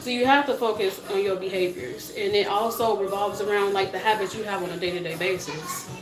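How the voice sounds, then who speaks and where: Over music in the background, a woman talks at a fairly quick pace and medium pitch with ordinary pitch variation, and audible room echo surrounds her voice. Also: hardly any pauses. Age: adult parent. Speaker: weight loss vlogger. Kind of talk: casual livestream talk. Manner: fast.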